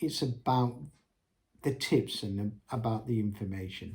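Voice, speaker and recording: A man speaks in a somewhat breathy voice. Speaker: entrepreneur vlogger. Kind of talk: unscripted business tips monologue. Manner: hesitant, many ums.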